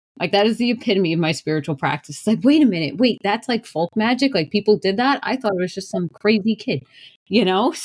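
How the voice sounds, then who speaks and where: A woman with a strong New York accent speaks very fast at a medium pitch, her intonation lively. Her voice is somewhat breathy, and the sound is dry and close with no echo. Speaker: shaman and spiritual practitioner. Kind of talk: podcast self-introduction.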